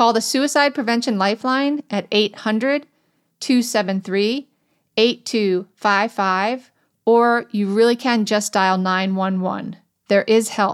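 Against a very clean recording with a silent background, a woman with an ordinary speaking voice talks at a fairly slow pace, with fairly high pitch and ordinary pitch variation. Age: 50s. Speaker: podcast host. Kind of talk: casual interview; scripted disclaimer.

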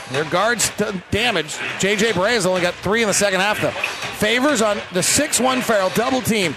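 A man's raised, projected voice with lively intonation over noticeable background noise. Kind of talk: basketball play-by-play radio commentary.

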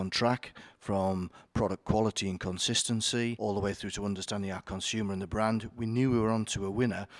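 Speaking at a fairly quick pace, a man with a Yorkshire accent has a fairly low pitch and monotone, flat intonation. The sound is dry and close with no echo, on a very clean recording with a silent background. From Yorkshire, northern England. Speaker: company chief executive. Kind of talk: interview.

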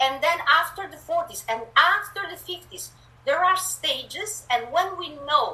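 In an Italian accent, a woman uses a raised, projected voice at a fairly slow pace. Her pitch swings very widely over noticeable background noise. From Italy. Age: 50s. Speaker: author and spiritual guide. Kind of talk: interview. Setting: video call.

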